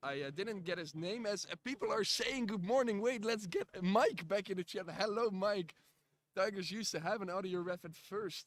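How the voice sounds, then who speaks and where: A man speaks at a moderate pace with a Dutch accent. His voice is high-pitched, with ordinary pitch variation. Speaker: live stream commentator. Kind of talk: live commentary. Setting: live stream. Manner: halting, many fillers.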